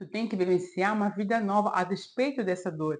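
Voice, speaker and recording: Using a normal speaking voice, a woman talks at a moderate pace. Her pitch is medium, and it varies in an ordinary way. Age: 40s. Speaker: self-help video creator. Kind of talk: advice monologue to camera.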